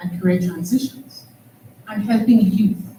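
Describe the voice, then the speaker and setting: A woman speaks with a Trinidadian accent at a medium pitch. Her pace is moderate, with ordinary pitch variation. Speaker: panel moderator, academic. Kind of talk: conference panel moderation.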